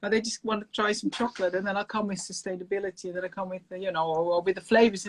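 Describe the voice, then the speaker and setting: A woman speaks very fast with a Dutch accent. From Netherlands. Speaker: chocolate maker. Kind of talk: casual chat. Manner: animated.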